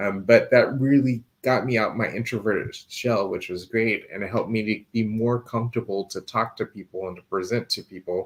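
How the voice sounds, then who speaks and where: A man at a moderate pace with hardly any pauses. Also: medium pitch for a man, fairly even intonation. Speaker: insurance agent and finance show host. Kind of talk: live stream show. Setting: live stream with screen share. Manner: soft-spoken.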